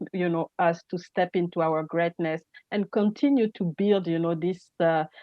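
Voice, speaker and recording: A woman speaks in a fairly low pitch, fairly slowly, with fairly even intonation. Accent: French. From Gabon. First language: French. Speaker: energy entrepreneur and speaker. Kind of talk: interview. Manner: halting, many fillers.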